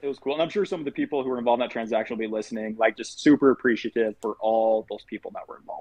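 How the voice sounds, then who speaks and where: A man's medium-pitched voice at a very fast pace with hardly any pauses, ordinary pitch variation and big swings in loudness. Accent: American. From Utah. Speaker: loan officer. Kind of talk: casual interview.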